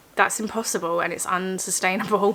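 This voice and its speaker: Against noticeable background noise, a soft-spoken woman talks in a monotone, flat intonation. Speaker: vlogger. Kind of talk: casual vlog talk. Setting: at home.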